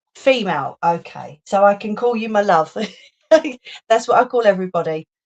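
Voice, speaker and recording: The voice has a London accent. Its tone is playful. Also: woman. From London, England. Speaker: crafting livestreamer. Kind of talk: casual livestream chat while crafting. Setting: live stream. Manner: chatty, playful.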